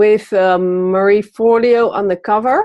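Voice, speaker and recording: A woman with a Dutch accent speaks very slowly at a medium pitch, her pitch varying in an ordinary way. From Netherlands. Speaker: magazine publisher. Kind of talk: interview. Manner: hesitant, many fillers.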